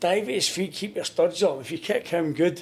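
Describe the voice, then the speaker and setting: This man talks at a moderate pace in a Glaswegian accent. His pitch is high. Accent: Glaswegian Scottish. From Scotland, Glasgow. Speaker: goalkeeping coach and former footballer. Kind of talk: podcast interview. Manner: loud when coaching.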